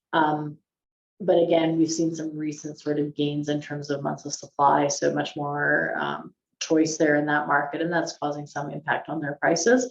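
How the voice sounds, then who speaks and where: A woman talks with a very deep, low pitch and vocal fry. Her intonation stays fairly even. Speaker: chief economist. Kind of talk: webinar presentation. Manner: fast; hesitant, many ums.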